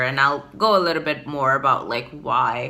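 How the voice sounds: Speaking at a fairly slow pace with an American accent, a woman has an extremely low pitch and a bright, sharp tone.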